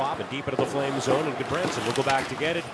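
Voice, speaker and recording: Noticeable background noise surrounds a man whose pitch is fairly high. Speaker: radio play-by-play announcer. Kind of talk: live radio sports commentary, play-by-play. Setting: radio broadcast booth at arena. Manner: fast, fluent, rapid-fire puck-tracking; energetic but steady, informative.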